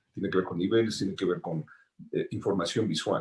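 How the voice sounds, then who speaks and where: A man's voice comes through somewhat breathy. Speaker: sound designer. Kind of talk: panel talk.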